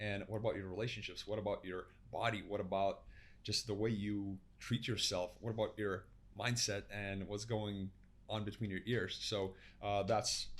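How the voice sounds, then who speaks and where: Here a man speaks with an American accent. His voice is fairly low and monotone, with flat intonation. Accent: Lithuanian with American-sounding tinge. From Lithuania. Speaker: health and performance coach. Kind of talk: podcast interview. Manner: fast.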